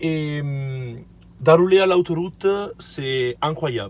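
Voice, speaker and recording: Somewhat breathy, a man talks at a very slow pace, his fairly high pitch varying in an ordinary way. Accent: non-native. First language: not French (speaking French). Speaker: car vlogger. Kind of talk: casual vlog, car presentation. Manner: halting, hesitant.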